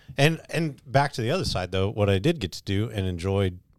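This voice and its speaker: With a normal speaking voice, a man talks at a fairly quick pace in a fairly low pitch with lively intonation. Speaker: pastor. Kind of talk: casual chat.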